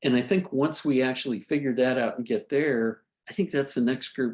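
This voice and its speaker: In a normal speaking voice, a man talks at medium pitch and a moderate pace with ordinary pitch variation. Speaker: physician presenter. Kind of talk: online medical lecture and discussion.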